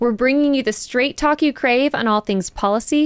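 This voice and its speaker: A woman speaks at a fairly quick pace with ordinary pitch variation and a plain, everyday voice. The sound is dry and close, with no echo. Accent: American. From Texas, South Dallas. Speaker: podcast host. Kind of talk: scripted intro; casual interview.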